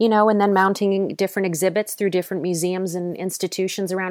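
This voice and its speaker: A woman speaks at a medium pitch with a Midwestern American accent. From Cleveland, Ohio. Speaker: teaching artist and filmmaker. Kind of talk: casual chat.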